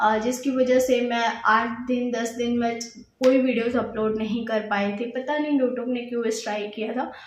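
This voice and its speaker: A moderately paced, flat, monotone delivery with audible room echo and noticeable background noise. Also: woman, high pitch for a woman. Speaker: YouTuber sharing pregnancy experience. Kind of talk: casual vlog talk. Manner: hesitant with filler sounds.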